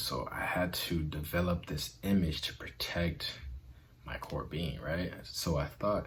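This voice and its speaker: Room echo can be heard around a man's voice. His pitch moves in an ordinary way. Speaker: self-help video host. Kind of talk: motivational talk. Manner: halting with fillers.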